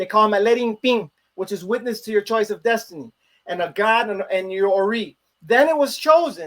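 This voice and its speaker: Talking fast-ish with lively intonation, a man with a Chicago accent has a high pitch. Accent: Chicago American English. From US Midwest, Chicago. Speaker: religious priest. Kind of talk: interview, religious explanation.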